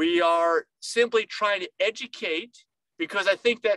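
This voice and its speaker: A man speaks in a raised, projected voice with a high pitch. His tone is bright and sharp, and the sound is dry with no echo. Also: quiet background. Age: 50s. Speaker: nutritionist, video host. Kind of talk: informal educational monologue to camera. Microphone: webcam.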